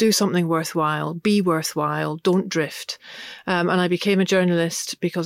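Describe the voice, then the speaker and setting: In a dry, close sound with no echo, a woman with fairly low pitch talks at a moderate pace in a monotone, flat intonation. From Scotland, Glasgow (English parents). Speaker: feminist activist and author. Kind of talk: interview conversation.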